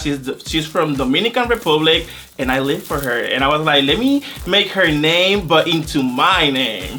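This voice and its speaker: Over noticeable background noise, an animated man with a Spanish accent talks at a fairly high pitch and moderate pace with ordinary pitch variation. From Puerto Rico. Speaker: drag queen competitor. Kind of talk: interview confessional.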